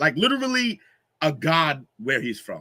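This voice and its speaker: A man speaks loudly and at a fairly slow pace, his tone bright, sharp and animated, in a very clean recording with a silent background. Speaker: podcast host. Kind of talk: casual chat.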